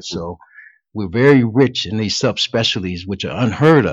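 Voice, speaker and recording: Moderate pace and a normal speaking voice from a man with an American accent, fairly low pitch and ordinary pitch variation. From Cleveland, Ohio. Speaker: physician. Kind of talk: interview.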